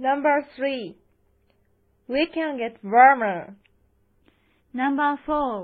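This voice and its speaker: Speaking very slowly, a woman uses a high pitch. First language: Japanese. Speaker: English-learning podcast host. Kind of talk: scripted English lesson. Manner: slow and clear.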